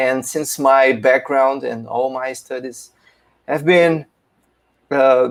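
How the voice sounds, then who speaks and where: In a Portuguese accent, a man at medium pitch speaks at a very slow pace in a monotone, flat intonation, with long, frequent pauses. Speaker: philosophy teacher presenting a paper. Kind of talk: academic conference presentation. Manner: halting, many fillers.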